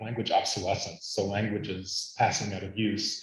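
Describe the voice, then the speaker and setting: A somewhat breathy man talks at a fairly quick pace and medium pitch, with audible room echo. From US, Arizona. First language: Latvian. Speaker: linguist. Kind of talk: conference talk.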